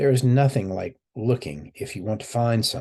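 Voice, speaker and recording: Put-on character voice from a man, raspy and medium-pitched, at a moderate pace. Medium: read story.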